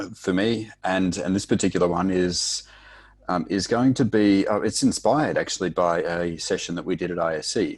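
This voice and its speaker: A man with a very deep, low pitch and a non-native accent, at a moderate pace with ordinary pitch variation, over a quiet background. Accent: noticeable foreign. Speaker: technical instructor. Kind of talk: podcast interview.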